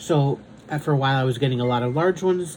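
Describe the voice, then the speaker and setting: The voice is somewhat breathy with a dark, mellow tone, lively intonation and a fairly quick pace. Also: man. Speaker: diamond painting content creator. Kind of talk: casual chat. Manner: halting.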